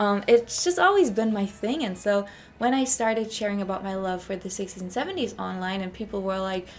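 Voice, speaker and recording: At a fairly quick pace, a woman with an American accent speaks at a medium pitch with ordinary pitch variation. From Germany. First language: German. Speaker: lifestyle vlogger. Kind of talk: casual chat. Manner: chatty.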